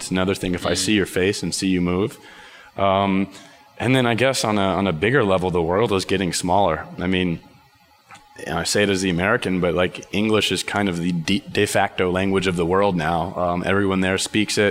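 With a very deep, low pitch and fairly even intonation, a man talks at a fairly quick clip over noticeable background noise. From Texas (Dallas). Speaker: marketing manager at a tech company. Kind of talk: interview conversation. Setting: company office. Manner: hesitant, many fillers.

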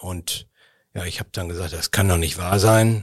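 A man speaks in a very deep, low pitch that is somewhat breathy, with fairly even intonation. The recording is very clean, with a silent background. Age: 60s. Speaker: charity association chairman. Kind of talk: interview. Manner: hesitant, frequent fillers.

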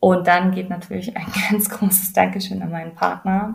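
A woman's fairly low voice in a monotone, flat delivery. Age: 30s. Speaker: person with multiple sclerosis. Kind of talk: interview.

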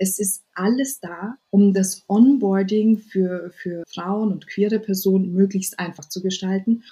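A woman's medium-pitched, somewhat breathy voice, dark and mellow in tone, with fairly even intonation and a very slow pace. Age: 30s. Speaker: web3 diversity advocate and founder. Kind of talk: interview. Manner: halting.

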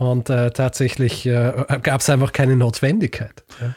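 A man's medium-pitched voice with a dark, mellow tone, a slight Viennese accent and a fairly slow pace. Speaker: history podcaster. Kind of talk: casual chat. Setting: remote recording from bedroom.

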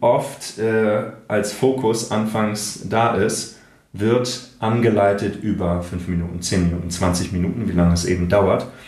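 A man's fairly low voice, fairly slow and fairly even in intonation, with noticeable background noise and audible room echo. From northern Germany, Kiel. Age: 40s. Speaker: voice actor and speech coach, breathwork therapist. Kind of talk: casual interview chat.

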